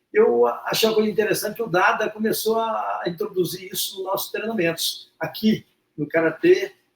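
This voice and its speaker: A man with a high voice talks at a moderate speed, his pitch varying in an ordinary way. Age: 60s. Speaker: martial arts practitioner. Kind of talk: interview testimony. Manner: halting.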